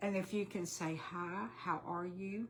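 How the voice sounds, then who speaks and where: With a Texan accent, a woman talks at a fairly slow pace and keeps her intonation fairly even. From Texas. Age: 60s. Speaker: weight-loss vlogger. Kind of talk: casual livestream chat. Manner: chatty, halting with fillers.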